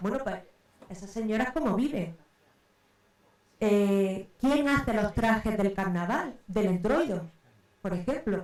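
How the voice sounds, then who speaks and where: A woman with an Andalusian accent speaks at a very slow pace with long, frequent pauses. Her pitch is medium and her intonation lively. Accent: Andalusian (Córdoba). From Córdoba, Andalusia, Spain. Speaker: researcher. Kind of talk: round table talk. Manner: hesitant, many fillers.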